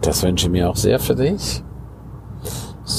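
A man talks at a moderate pace. There is audible room echo and noticeable background noise. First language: Romansh (speaking German). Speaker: life coach and podcaster. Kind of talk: casual monologue.

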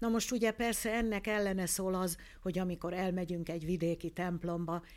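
A woman speaks at a moderate pace and a medium pitch on a very clean recording with a silent background. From Hungary. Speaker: ear, nose and throat doctor and phoniatrist. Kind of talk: interview.

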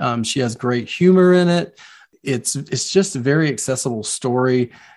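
A man with a South Carolina accent talks at a fairly slow pace and a medium pitch, with ordinary pitch variation. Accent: Southern US (South Carolina). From US South, Low Country of South Carolina. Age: 50s. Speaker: children's book author. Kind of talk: interview.

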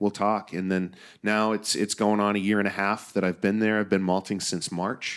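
A man speaks at a moderate pace with an American accent. His intonation stays flat and monotone. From US Pacific Northwest. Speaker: craft maltster. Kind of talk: casual interview. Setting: remote recording at a conference.

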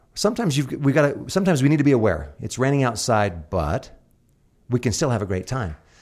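A man speaks very fast at a medium pitch, with vocal fry. His pitch swings very widely on a very clean recording with a silent background. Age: 40s. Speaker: author and motivational speaker. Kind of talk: casual chat. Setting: studio. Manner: animated.

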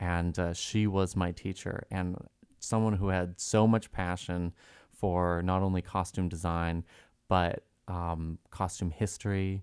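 A man's very deep, low-pitched voice at a fairly slow pace, with monotone, flat intonation. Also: very clean recording, silent background. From Massachusetts (Reading, near Boston). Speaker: costume designer. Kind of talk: interview.

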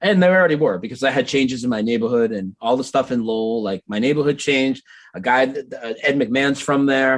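Delivered at a fairly quick pace with ordinary pitch variation, this is an ordinary speaking voice. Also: man. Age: 40s. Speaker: Mandela effect researcher. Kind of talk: casual chat.

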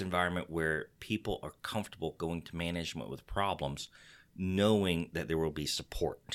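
A man's voice, very deep and low in pitch, moves at a moderate pace with ordinary pitch variation. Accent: Texas. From Texas. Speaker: podcast host. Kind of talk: casual podcast chat. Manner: animated, joking.

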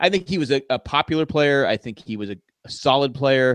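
A man's plain, everyday voice, fairly high for a man, with lively intonation and a fairly quick pace, in a dry, close sound with no echo. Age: 50s. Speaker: podcast co-host. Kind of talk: casual chat. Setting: video call.

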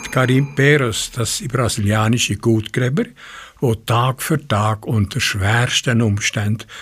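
Speaking at a very slow pace, a man with a medium pitch and a somewhat breathy voice uses ordinary pitch variation. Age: 80s+. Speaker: community radio host. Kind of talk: radio presentation, partly reading a fairy tale.

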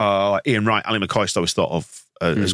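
A man with an English accent talks at a fairly quick pace. His pitch is fairly low, and the sound is dry and close with no echo. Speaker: podcast host. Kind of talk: casual chat.

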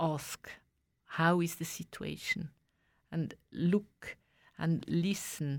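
On a very clean recording with a silent background, a woman speaks with fairly even intonation and long, frequent pauses. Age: 60s. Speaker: asylum rights activist. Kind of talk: radio interview. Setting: radio studio. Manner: halting.

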